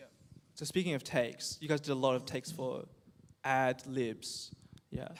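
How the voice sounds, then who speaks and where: Speaking with an Australian accent at medium pitch, a man keeps a moderate pace and fairly even intonation, with long, frequent pauses and big swings in loudness. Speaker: youth group host and singer. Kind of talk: casual panel chat.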